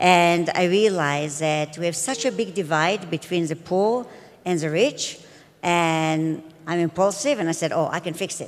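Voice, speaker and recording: A woman speaks with a non-native accent. Her pitch is fairly low, with ordinary variation. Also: moderate pace. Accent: noticeable non-native English. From Israel. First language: Hebrew. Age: 50s. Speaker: edtech entrepreneur. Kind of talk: conference talk.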